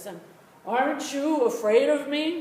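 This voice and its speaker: A man's put-on character voice, extremely high in pitch, at a fairly slow pace with slight echo. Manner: menacing.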